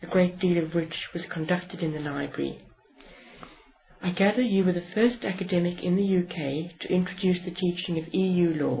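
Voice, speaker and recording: Fairly even intonation at a moderate pace, with music in the background. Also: woman, fairly low pitch for a woman. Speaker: interviewer. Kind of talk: interview questions.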